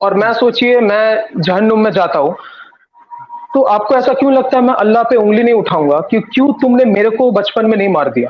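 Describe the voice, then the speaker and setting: Speaking with a Bengali accent, a man uses a high pitch and ordinary pitch variation. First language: Bengali (speaking Hindi). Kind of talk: religious debate.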